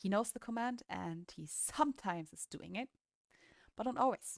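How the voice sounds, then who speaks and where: A woman with a non-native accent speaks at a moderate pace with lively intonation, and the sound is dry and close with no echo. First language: not English. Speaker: dog owner vlogger. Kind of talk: casual vlog talk.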